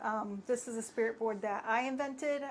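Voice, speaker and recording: Speaking quietly at a fairly quick pace, a woman uses a fairly high pitch with ordinary pitch variation. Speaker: spirit board maker. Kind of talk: casual live stream product demo. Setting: live stream. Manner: quiet, cannot raise voice; hesitant, many fillers.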